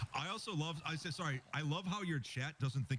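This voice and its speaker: Noticeable noise sits in the background while a man talks. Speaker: gamer. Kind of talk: casual chat.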